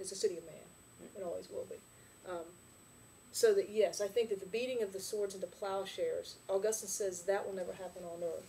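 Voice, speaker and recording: Here a woman is speaking. Her pace is fairly quick. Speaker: Sunday school teacher. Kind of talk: lecture. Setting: church classroom. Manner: fast.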